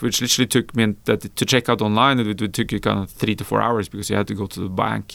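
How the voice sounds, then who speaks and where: Fairly low male voice with a Norwegian accent, vocal fry and fairly even intonation. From rural Norway. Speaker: venture capital founder. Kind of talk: interview.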